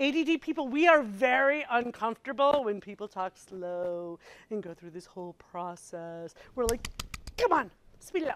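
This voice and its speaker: A woman speaks in a fairly high pitch with an animated tone. Her pitch swings very widely and her loudness shifts a lot. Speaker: software consultant and presenter. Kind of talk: presentation to user group. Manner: fast.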